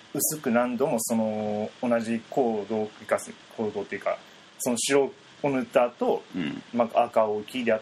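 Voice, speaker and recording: Noticeable background noise runs under this recording. A man speaks at a medium pitch with ordinary pitch variation. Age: 20s. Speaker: painter. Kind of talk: interview.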